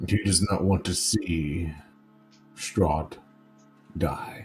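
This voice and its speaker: Faint music plays in the background as a put-on character voice moves at a very slow pace. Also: man, very deep, low pitch for a man. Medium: actual play. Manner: formal, solemn.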